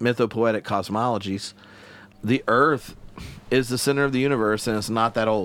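A man with a Southern US accent speaks at a moderate pace, his pitch rising and falling in an ordinary way. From US South. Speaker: theologian and podcast host. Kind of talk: casual interview. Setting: in person studio in Glasgow.

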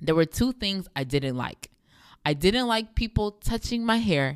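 Recorded very cleanly against a silent background, a woman speaks at a moderate pace with lively intonation. The sound is dry and close, with no echo. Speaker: podcast host. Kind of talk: faith-based monologue.

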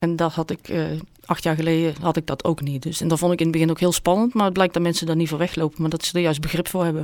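Speech delivered at a very fast pace in a monotone, flat intonation. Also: woman, fairly low pitch for a woman. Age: 50s. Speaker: volunteer editor sharing her burn-out story. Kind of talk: personal interview.

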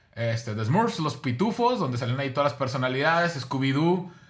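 A man's bright, sharp tone with ordinary pitch variation and audible room echo. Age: 40s. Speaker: podcast co-host. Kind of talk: casual chat.

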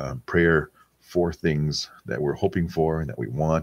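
With vocal fry, a man talks in a very deep, low register. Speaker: rosary prayer livestream host. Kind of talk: casual chat reading prayer intentions.

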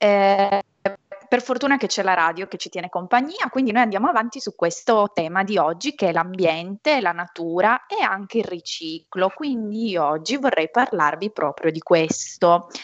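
At a moderate pace, a woman with a normal speaking voice and a medium pitch uses lively intonation. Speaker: association representative. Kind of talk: educational quiz. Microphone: unstable connection.

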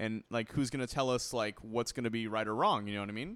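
A man of medium pitch at a very fast pace on a very clean recording with a silent background. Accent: American. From US, Cuban descent. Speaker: podcast co-host. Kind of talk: casual chat. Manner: animated.

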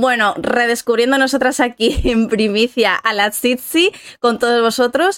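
A woman's high-pitched voice at a fairly slow pace, with ordinary pitch variation, very even loudness and a dry, close sound with no echo. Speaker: podcast co-host. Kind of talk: casual chat.

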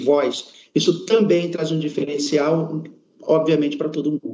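At a fairly slow pace, a man uses a plain, everyday voice, fairly high in pitch, with ordinary pitch variation. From Amazonas, Brazil. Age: 40s. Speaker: product management employee. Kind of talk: corporate panel discussion. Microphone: connection delay.

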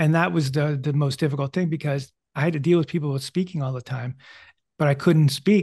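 This man's voice is fairly high in pitch, somewhat breathy, and has ordinary pitch variation. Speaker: psychic medium and podcast host. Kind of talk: casual interview conversation. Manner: halting, many fillers and repetitions.

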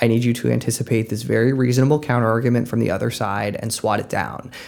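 Here a man with an unremarkable speaking voice talks fairly quickly at a medium pitch, keeping his intonation fairly even. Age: 30s. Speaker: news editor. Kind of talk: casual chat. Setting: studio.

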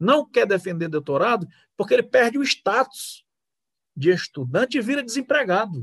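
A man at a fairly slow pace, his pitch swinging very widely, in a dry, close sound with no echo. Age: 50s. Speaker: jurist and lawyer. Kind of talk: political discussion. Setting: live video stream. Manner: formal.

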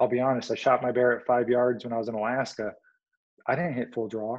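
A man with an American accent, medium in pitch, at a fairly quick pace. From US Midwest, Illinois. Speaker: army veteran and longbow archer. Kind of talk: casual interview.

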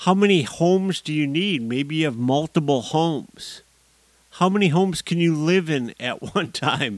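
A man with an American accent speaks in a normal speaking voice, fairly high-pitched for a man, at a fairly slow pace, on a very clean recording with a silent background. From US. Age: 50s. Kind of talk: solo monologue podcast.

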